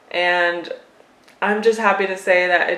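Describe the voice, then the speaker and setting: Over noticeable background noise, a woman talks at a fairly slow pace in a monotone, flat intonation. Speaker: cat owner and pet vlogger. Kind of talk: casual talk to camera.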